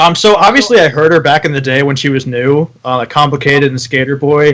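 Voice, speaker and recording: A man's fairly high voice moves at a very fast pace with ordinary pitch variation. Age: 20s. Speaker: podcast host. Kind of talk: casual chat. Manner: hesitant, many fillers.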